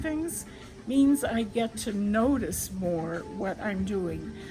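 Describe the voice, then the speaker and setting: Over music in the background, a woman speaks at a very slow pace with lively intonation. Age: 90s. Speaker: elderly woman, mother and grandmother, co-founder of a breastfeeding support organization. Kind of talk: casual talk to camera, reflective personal monologue.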